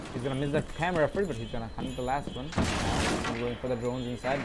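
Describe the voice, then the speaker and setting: Someone mumbles at a very fast pace against noticeable background noise. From Bangladesh. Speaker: esports caster. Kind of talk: live commentary. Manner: mumbling.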